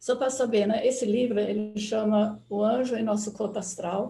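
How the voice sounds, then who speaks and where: A woman's fairly high, somewhat breathy voice with a dark, mellow tone, at a moderate pace with fairly even intonation. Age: 80s+. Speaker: anthroposophy speaker. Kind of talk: online talk.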